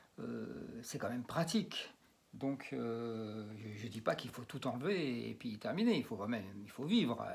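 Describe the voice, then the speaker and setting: A man speaks at a fairly slow pace. His loudness rises and falls sharply. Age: 60s. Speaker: magnetic healer and geobiologist. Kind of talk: demonstration video. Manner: halting, many fillers and repetitions.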